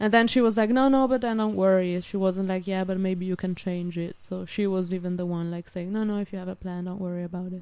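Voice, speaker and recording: With an Italian-Swiss accent, a woman talks very fast with hardly any pauses, her medium-pitched voice dark and mellow in tone and fairly even in intonation. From Switzerland (Italian-speaking). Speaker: student and former au pair. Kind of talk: casual interview.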